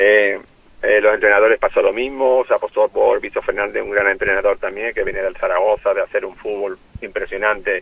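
The recording is dry and close, without any echo. A man speaks fairly quickly in it. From Málaga, Andalusia. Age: 50s. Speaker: retired footballer, care home owner. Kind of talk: interview.

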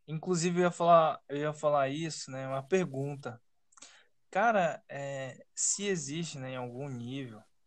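At a fairly slow pace, a man talks in an ordinary speaking voice, fairly high in pitch with ordinary pitch variation. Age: 20s. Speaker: podcast host. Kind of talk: casual chat.

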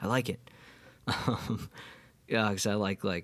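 Speaking with a New York State accent, a man has a fairly low pitch. His pace is very slow. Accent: New York State American. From US Northeast, Catskills, New York. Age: 20s. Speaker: podcast host and musician. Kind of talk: casual monologue. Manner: halting, many fillers.

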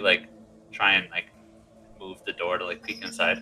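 Music plays in the background as a man speaks. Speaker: player in the game. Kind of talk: casual tabletop roleplaying game chat. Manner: animated, jokey, swears often.

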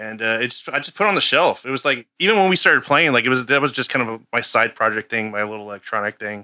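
A man with an American accent at a very fast pace, bright, sharp tone, very clean recording with a silent background. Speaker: bassist in a band. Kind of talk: casual interview chat.

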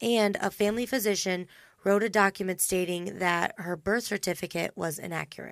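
On a very clean recording with a silent background, a woman with an American accent uses a plain, everyday voice at a medium pitch and fairly even intonation. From Indiana. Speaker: true crime podcast host. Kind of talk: casual chat.

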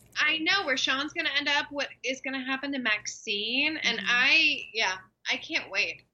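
A woman's high-pitched voice with an American accent, ordinary pitch variation and a moderate pace. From Texas, Dallas-Fort Worth. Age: 20s. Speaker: actress. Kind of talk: casual chat. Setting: video call.

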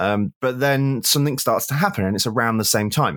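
Someone with an English accent talks at a fairly quick pace in a very clean recording with a silent background. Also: man, dry, close sound with no echo. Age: 40s. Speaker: music critic and author. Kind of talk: casual chat. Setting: at home.

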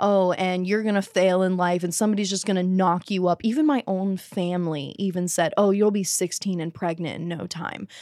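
At a moderate pace, a woman talks in a normal speaking voice at a medium pitch with ordinary pitch variation, captured in a very clean recording over a silent background. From US Southeast (the Carolinas). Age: 20s. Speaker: adult film performer. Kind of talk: casual interview.

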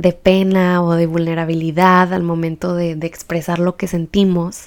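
A woman speaks in a plain, everyday voice, pitched fairly low. Her pace is fairly slow and her intonation fairly even. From Baja California, Mexico. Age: 20s. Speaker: podcast host. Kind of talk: podcast introduction monologue.

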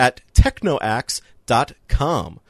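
A man is heard in a dry, close sound with no echo. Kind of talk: casual banter podcast discussing video games. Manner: joking, self-deprecating, hesitant with filler words.

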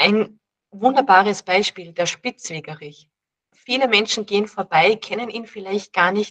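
A woman with an ordinary speaking voice talks at a fairly slow pace in a medium pitch, with ordinary pitch variation. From Austria, Salzburg. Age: 30s. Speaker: dietitian and herbalist. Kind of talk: casual interview.

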